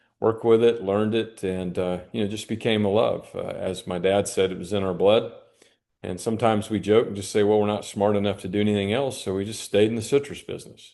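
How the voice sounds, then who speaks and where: A man speaks at a fairly quick pace and fairly low pitch. His intonation is flat and monotone. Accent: Florida. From US South, Central Florida (Lake County). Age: 60s. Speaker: citrus grower and agricultural researcher. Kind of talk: podcast interview. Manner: hesitant, many fillers.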